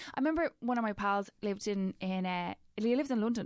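A woman talks at a very fast pace in a Dublin accent, her pitch medium with ordinary variation. The recording is very clean, with a silent background. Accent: Dublin Irish. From Ireland, Dublin. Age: 30s. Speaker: broadcaster and podcaster. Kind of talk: casual chat.

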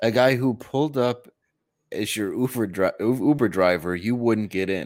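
Here a man uses a plain, everyday voice with an American accent, medium pitch and ordinary pitch variation. He keeps a moderate pace on a very clean recording with a silent background. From Detroit, Michigan. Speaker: comedian. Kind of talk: casual chat.

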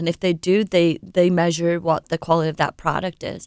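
A woman with an English accent speaks at a fairly quick pace and a fairly low pitch. The recording is very clean, with a silent background. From England. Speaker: sales representative for a countertop manufacturer. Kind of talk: radio interview.

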